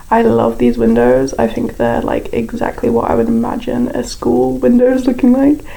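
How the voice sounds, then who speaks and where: At a moderate speed, a woman talks while noticeable noise carries in the background. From Britain. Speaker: YouTuber building in a game. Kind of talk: casual voiceover commentary. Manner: casual, lots of filler words.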